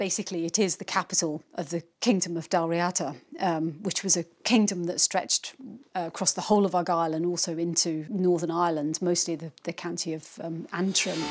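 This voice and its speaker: Using an ordinary speaking voice, a woman talks at a fairly quick pace with fairly low pitch and fairly even intonation. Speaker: archaeologist. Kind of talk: interview answer.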